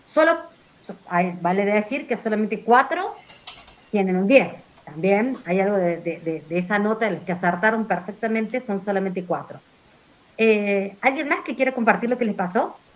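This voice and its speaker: A woman talks with lively intonation. Noticeable background noise runs underneath. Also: medium pitch for a woman. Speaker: university teacher. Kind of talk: online class discussion. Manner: fast.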